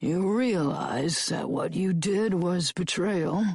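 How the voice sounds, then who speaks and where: A put-on character voice, female-sounding and raspy, at middle pitch and a very slow pace. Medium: read story. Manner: emotionless, cold.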